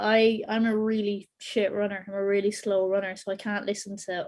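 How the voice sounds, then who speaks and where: Speaking at a fairly quick pace, a woman has an Irish accent. Her loudness swings widely. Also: hardly any pauses. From Ireland. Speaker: podcast industry expert. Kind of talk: panel discussion / webinar Q&A. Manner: casual, animated.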